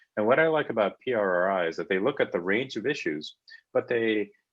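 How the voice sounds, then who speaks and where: A fairly quick pace with ordinary pitch variation. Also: man. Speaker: panelist. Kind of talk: panel talk. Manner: fast.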